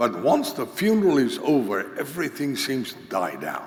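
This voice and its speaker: Audible room echo surrounds a man who speaks at a fairly slow pace with vocal fry and lively intonation. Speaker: conference teacher on pastoral care. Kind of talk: lecture.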